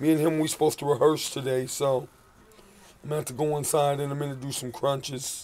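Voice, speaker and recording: Faint music sits behind a man with a fairly high voice. He speaks fairly quickly in a flat monotone. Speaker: street artist and musician vlogger; musician vlogger. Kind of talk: video diary. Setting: outdoors. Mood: earnest, heartfelt. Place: street. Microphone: phone near.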